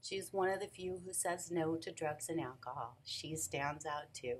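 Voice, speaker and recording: Over light background noise, a woman with an American accent talks at a moderate pace, her fairly low pitch showing ordinary variation. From Phoenix, Arizona (US Southwest). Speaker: nonprofit founder. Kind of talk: pitch presentation. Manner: formal. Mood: earnest, emotional, warm. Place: office. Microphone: webcam.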